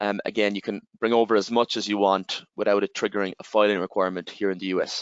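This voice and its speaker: A man speaks at a very fast pace with an Irish accent. His fairly low voice stays monotone and flat. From Ireland. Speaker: tax software representative. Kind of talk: webinar presentation. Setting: online webinar.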